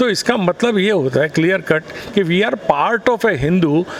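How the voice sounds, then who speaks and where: There is noticeable background noise. Over it, a man with a high pitch talks at a moderate pace. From Mumbai, India. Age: 60s. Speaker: politician. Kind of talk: interview. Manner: animated.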